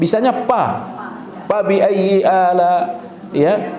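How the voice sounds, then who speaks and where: A very slow-paced male speaker amid noticeable background noise and audible room echo. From Sulawesi, Indonesia. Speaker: Islamic preacher. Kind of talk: religious lecture Q&A.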